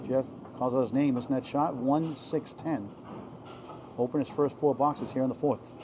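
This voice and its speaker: A man speaks at a moderate pace with very even loudness and long, frequent pauses. Noticeable background noise runs behind him. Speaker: bowling commentator. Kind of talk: live commentary. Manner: animated.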